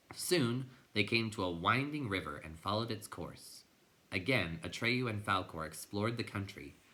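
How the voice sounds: The clip has a natural reading voice. Lively intonation runs through it.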